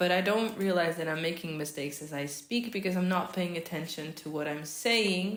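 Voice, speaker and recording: A woman with a Portuguese accent, fairly low in pitch, with ordinary pitch variation and hardly any pauses. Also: moderate pace. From Portugal. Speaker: vlogger. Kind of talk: casual vlog talk while crafting. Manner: hesitant, with fillers.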